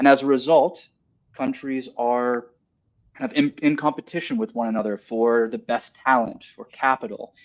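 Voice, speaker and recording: An American-accented man at a moderate pace, medium in pitch, with lively intonation and big swings in loudness. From US South, North Carolina. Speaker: investment migration advisor. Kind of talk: webinar presentation. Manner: halting, many fillers.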